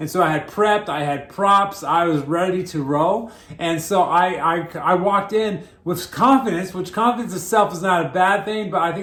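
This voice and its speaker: A man with a high pitch and ordinary pitch variation speaks at a moderate pace, with audible room echo and noticeable background noise. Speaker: pastor. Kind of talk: sermon. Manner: halting, repeats words.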